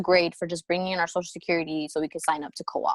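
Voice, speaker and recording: On a very clean recording with a silent background, a woman speaks at a medium pitch with an American accent. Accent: sounds American even in Spanish. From New Jersey, US (born in Peru, came at two). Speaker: film editor and filmmaker. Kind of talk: interview, casual chat. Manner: casual, many fillers and restarts.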